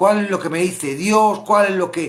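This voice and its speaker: A man's voice sits high in pitch, with a bright, sharp tone. His pitch varies in an ordinary way. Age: 60s. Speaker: Bible study teacher. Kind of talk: Bible study teaching. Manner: animated.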